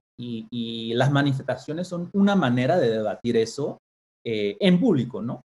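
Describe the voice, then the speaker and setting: A man at medium pitch, very slow in pace, with lively intonation. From Caribbean and Panama, raised partly abroad. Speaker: professor of education policy. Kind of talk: interview. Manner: halting, many repeated words.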